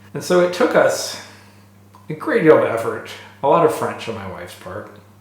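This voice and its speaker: A man with an American accent talks at a moderate pace, with audible room echo and noticeable background noise around him. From United States. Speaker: engineer and machinist. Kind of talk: interview. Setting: machine shop.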